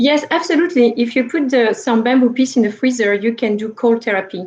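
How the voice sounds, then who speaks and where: In a French accent, a woman speaks at a fairly quick pace with a fairly high pitch. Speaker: massage therapist and instructor. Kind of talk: casual chat.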